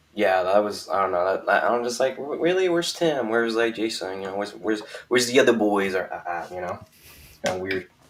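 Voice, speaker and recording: A man mumbling at a very fast pace, fairly low in pitch, with lively intonation and big swings in loudness. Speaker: YouTuber, guest. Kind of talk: casual live stream discussion. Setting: live stream. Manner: mumbling, hesitant.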